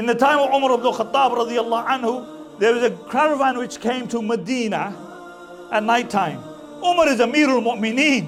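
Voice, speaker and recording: Over music in the background, a man speaks at an extremely high pitch with lively intonation. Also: moderate pace. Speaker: Islamic scholar giving a talk. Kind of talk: Islamic lecture storytelling.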